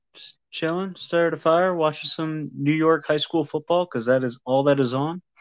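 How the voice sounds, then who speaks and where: Over a quiet background, the speaker keeps a moderate pace. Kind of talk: casual chat. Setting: connection over Wi-Fi, remote.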